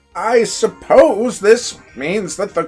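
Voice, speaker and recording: A man uses a put-on character voice at a high pitch. Faint music plays in the background. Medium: game stream. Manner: haughty, condescending.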